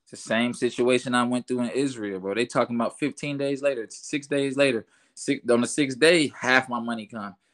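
On a very clean recording with a silent background, a man at medium pitch talks at a fairly quick pace with hardly any pauses, fairly even intonation and big swings in loudness. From Orlando, Florida. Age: 20s. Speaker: professional basketball player. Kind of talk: casual chat.

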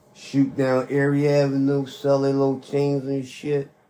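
In audible room echo, a man with a dark, mellow tone and medium pitch speaks at a fairly slow pace in a monotone, flat intonation.

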